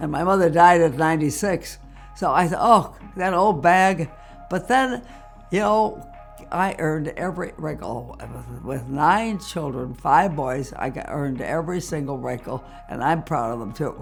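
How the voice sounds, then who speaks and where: A woman's very deep, low-pitched voice with lively intonation, over background music. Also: moderate pace, big swings in loudness. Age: 80s+. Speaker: mother and grandmother giving life advice. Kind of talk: interview answer. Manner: witty, lively.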